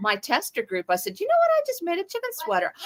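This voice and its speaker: A woman at a fairly quick pace, in a dry, close sound with no echo. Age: 60s. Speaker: crochet pattern designer. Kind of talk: interview.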